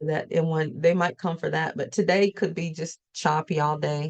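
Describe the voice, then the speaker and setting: A woman with a Southern US accent speaks in a very deep, low voice, recorded dry and close with no echo. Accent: southern US twang. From US South. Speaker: forex trader and trading educator. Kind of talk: live trading session. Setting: livestream.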